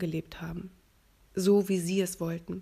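Somewhat breathy and dark, mellow in tone, a woman speaks at medium pitch and moderate pace with monotone, flat intonation on a very clean recording with a silent background. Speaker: podcast host, voice-over artist and author. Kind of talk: casual monologue.

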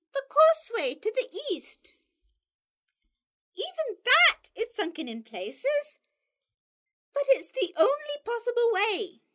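A woman uses a put-on character voice at an extremely high pitch. She goes at a fairly slow pace with long, frequent pauses. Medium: read story. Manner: brisk, tart.

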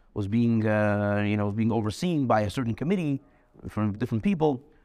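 Using an ordinary speaking voice, a man of medium pitch talks at a fairly quick pace with lively intonation against a quiet background. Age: 30s. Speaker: yeshiva teacher. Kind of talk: lecture.

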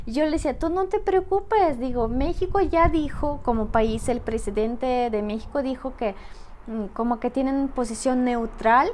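A woman speaks in a Russian accent at a high pitch. Her intonation is lively. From Russia, Saint Petersburg. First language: Russian (speaking Spanish). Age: 30s. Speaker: podcast guest. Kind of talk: casual interview.

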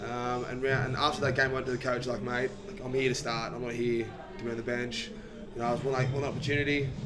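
With fairly even intonation and a fairly quick pace, the voice comes through audible room echo and noticeable background noise. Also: man. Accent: Australian. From Sydney, Australia (Maroubra). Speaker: rugby league player. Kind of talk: casual chat. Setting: podcast interview.

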